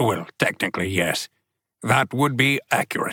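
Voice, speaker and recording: A man growls through a put-on character voice at a medium pitch and a moderate pace. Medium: read story. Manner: formal, unflappable calm.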